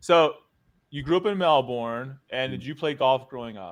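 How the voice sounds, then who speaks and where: An animated, lively-intoned delivery in an American accent. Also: man. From United States. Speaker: podcast host. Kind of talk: casual interview chat.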